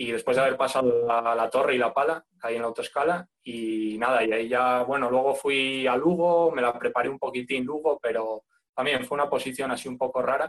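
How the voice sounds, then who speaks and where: A man with a plain, everyday voice speaks at a moderate pace with a medium pitch and fairly even intonation. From Spain, León. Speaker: firefighter exam candidate. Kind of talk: casual interview.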